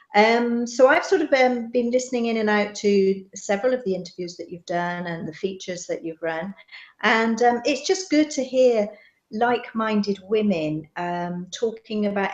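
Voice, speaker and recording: A woman in a Bristol accent at a moderate pace, with ordinary pitch variation and big swings in loudness. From England, Bristol. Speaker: expat businesswoman. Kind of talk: interview. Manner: hesitant, many fillers.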